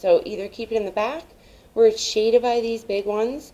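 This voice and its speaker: At a moderate pace, the speaker's tone comes across as dark and mellow. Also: woman. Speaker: home gardening vlogger. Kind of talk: casual vlog tutorial. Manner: loud, yelling; animated.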